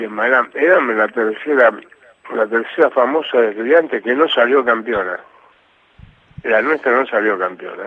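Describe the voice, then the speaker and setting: Noticeable background noise is present as a man speaks. His medium-pitched voice shows ordinary pitch variation at a moderate pace. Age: 70s. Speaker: retired football goalkeeper. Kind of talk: casual interview.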